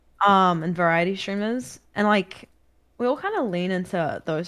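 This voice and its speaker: This woman talks at a moderate pace and medium pitch with a slight New Zealand accent. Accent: mild New Zealand. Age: 20s. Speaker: video game streamer. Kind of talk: casual chat. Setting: video call.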